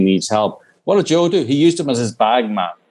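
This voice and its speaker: Intonation is lively as a man with an Irish accent speaks at a fairly quick pace. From Northern Ireland. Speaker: documentary filmmaker. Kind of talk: interview.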